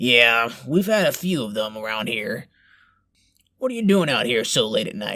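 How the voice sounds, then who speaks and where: Using a raspy, put-on character voice with lively intonation and a medium pitch, a man talks at a moderate pace on a very clean recording with a silent background. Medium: audio drama. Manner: fake reassuring, casual.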